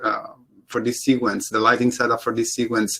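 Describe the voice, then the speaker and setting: Speaking in an Italian accent, this man has a medium pitch. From Italy. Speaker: CG supervisor and lighting artist panelist. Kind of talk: panel presentation.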